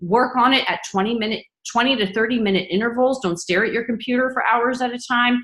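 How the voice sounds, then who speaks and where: Speaking fairly quickly in a normal speaking voice, a woman has a fairly high pitch and ordinary pitch variation. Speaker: physician assistant school admissions coach. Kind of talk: webinar presentation and Q&A. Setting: online webinar.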